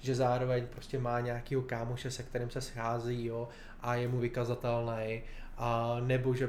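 In a room with audible echo, a man speaks at a medium pitch with monotone, flat intonation. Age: 30s. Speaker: nonprofit director. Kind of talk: interview.

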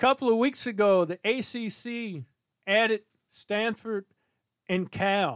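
Speaking very slowly with long, frequent pauses, a man uses a high voice with ordinary pitch variation. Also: dry, close sound with no echo. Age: 60s. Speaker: sports podcast host. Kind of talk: solo commentary podcast.

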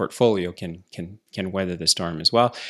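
A man talks at a very fast pace with a very deep, low pitch. The recording is very clean, with a silent background. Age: 40s. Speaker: entrepreneur vlogger. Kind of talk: solo business commentary. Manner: casual with many filler words.

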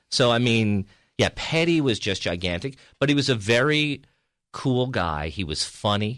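In a very clean recording with a silent background, a man with a plain, everyday voice speaks at a moderate pace with medium pitch and lively intonation. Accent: American. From New York (Peekskill, Hudson Valley). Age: 50s. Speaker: stand-up comedian. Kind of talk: casual chat.

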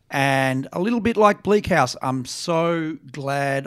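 In an Australian accent, a man speaks at a very slow pace. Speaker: think tank director. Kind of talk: book discussion.

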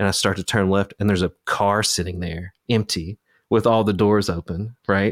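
At a moderate pace, a man with an Appalachian accent keeps a fairly even intonation on a very clean recording with a silent background and a dry, close sound with no echo. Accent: Appalachian US Southern. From Eastern Kentucky, Appalachia. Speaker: podcast host and researcher. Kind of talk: casual interview chat.

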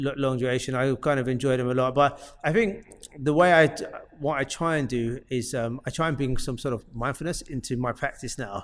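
A man with an unremarkable speaking voice talks at a fairly quick pace, his pitch medium and its variation ordinary. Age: 40s. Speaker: businessman and gym member. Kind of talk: casual chat.

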